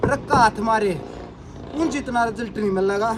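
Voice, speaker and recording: This man has a Haryanvi accent and lively intonation. Noticeable background noise runs beneath his voice. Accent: Haryanvi-accented Hindi. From Haryana, India. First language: Haryanvi (speaking Hindi). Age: 30s. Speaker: fitness vlogger. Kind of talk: tutorial. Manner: casual, repetitive.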